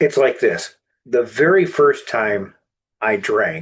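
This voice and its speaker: Every word from this man comes out very slowly. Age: 60s. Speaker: recovery advocate and author. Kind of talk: interview, personal testimony. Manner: halting, with fillers and restarts.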